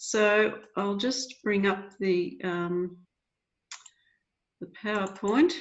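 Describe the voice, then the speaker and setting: A woman speaks at a very slow pace with long, frequent pauses. Her medium-pitched voice shows ordinary pitch variation. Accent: Australian. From Australia, rural Victoria. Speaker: library association president. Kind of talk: webinar presentation. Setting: video call.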